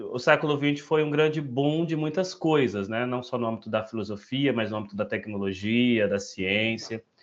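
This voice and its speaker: Medium-pitched male speech at a moderate pace, full of lively intonation. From northern Brazil, Altamira, Pará. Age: 20s. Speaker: education researcher. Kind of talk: self-introduction in an online meeting. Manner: halting, many fillers.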